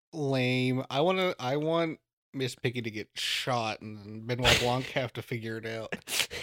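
This man has a plain, everyday voice at a medium pitch with ordinary pitch variation, talking at a fairly slow pace with big swings in loudness in a dry, close sound with no echo. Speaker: podcast host. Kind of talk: casual chat. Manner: casual, joking.

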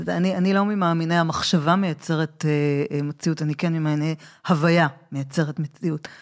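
On a very clean recording with a silent background, a woman with a very deep, low pitch talks at a moderate pace with fairly even intonation. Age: 40s. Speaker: podcast host. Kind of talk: interview.

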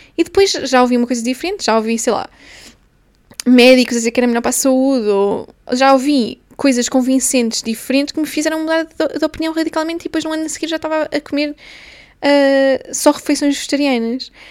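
A woman's high voice in a European Portuguese accent at a fairly quick pace. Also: ordinary pitch variation. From Portugal, small town. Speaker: podcaster. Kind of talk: solo casual monologue. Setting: recording on lunch break. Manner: halting, with many fillers.

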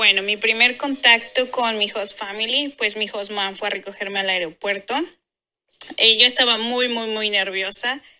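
A woman speaks at a fairly high pitch in a bright, sharp tone. Her intonation stays fairly even. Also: moderate pace. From Mexico. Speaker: former au pair. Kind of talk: casual chat.

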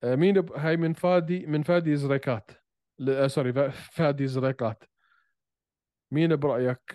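Heard dry and close with no echo, a man speaks in a fairly high pitch with ordinary variation and a dark, mellow tone. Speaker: podcast co-host discussing MMA. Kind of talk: casual banter, debate. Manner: animated, joking.

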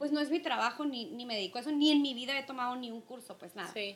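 This woman talks at a very fast pace in a high voice. Music plays in the background. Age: 30s. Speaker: podcast co-host. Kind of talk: casual chat.

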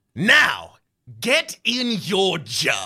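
A put-on character voice at a middle pitch comes out growling and raspy. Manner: growling, menacing.

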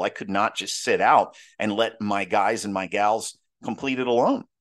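Against a quiet background, a man with an ordinary speaking voice and a fairly low pitch talks at a moderate pace. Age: 40s. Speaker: leadership podcast host. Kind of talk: monologue on leadership; personal story.

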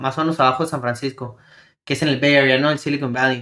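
Fairly high male speech with fairly even intonation, in a very clean recording with a silent background. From El Paso / Ciudad Juárez border. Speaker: podcast co-host. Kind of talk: casual chat.

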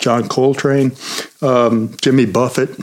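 Monotone, flat delivery from a man at medium pitch, fairly slow, against noticeable background noise. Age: 50s. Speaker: librarian and podcast co-host. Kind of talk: casual chat.

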